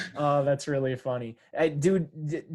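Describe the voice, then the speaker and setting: With a strong Upper Michigan accent, a man speaks at a fairly high pitch in a dark, mellow tone with ordinary pitch variation. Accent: thick Yooper. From Upper Peninsula of Michigan, Kingsford. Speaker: podcast host. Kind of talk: casual interview chat. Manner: casual, many fillers.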